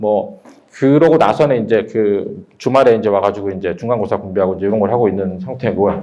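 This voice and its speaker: A fairly low male voice moves at a fairly quick clip, with ordinary variation in pitch. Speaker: math academy director. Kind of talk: admissions seminar talk. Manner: fast.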